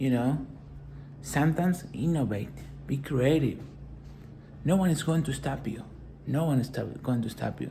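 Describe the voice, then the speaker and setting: Speaking with a non-native accent at a moderate pace, this voice leaves long, frequent pauses. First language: not English. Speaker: motivational business vlogger. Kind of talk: motivational talk.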